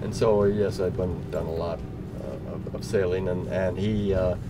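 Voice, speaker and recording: Very deep and low in pitch, a man speaks with fairly even intonation. Audible room echo and noticeable background noise are present. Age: 70s. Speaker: sailing school owner. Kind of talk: interview. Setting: outdoors. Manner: halting.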